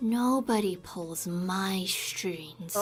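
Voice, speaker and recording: A female-sounding voice performs a put-on character voice at medium pitch. Faint music plays in the background. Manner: menacing.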